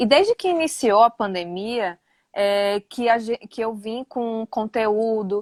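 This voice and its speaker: In a northeastern Brazilian accent, the speaker talks at a fairly slow pace with ordinary pitch variation, in a dry, close sound with no echo and a quiet background. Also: woman. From Northeast Brazil, interior of Rio Grande do Norte. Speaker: nutritionist. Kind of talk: casual live interview.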